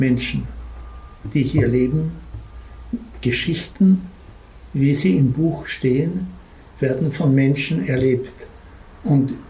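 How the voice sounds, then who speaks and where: A man with a fairly high pitch and ordinary pitch variation speaks at a very slow pace, with long, frequent pauses and very even loudness. Audible room echo surrounds him. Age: old. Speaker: publisher, retired school headmaster. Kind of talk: interview storytelling.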